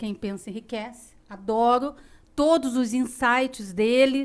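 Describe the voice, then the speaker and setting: A woman with a fairly high pitch and ordinary pitch variation is heard in a very clean recording with a silent background. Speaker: podcast host and company executive. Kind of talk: casual chat. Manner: firm; dry.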